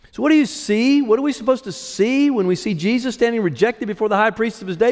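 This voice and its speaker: Noticeable background noise sits behind a man whose high-pitched voice carries lively intonation. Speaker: pastor. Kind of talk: sermon.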